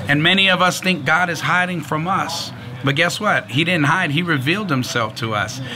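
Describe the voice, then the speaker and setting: With an American accent, this voice moves at a moderate pace with ordinary pitch variation over noticeable background noise. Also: man, fairly high pitch for a man. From San Francisco, California. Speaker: pastor; speaker. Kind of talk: sermon. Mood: earnest, warm testimony. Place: street.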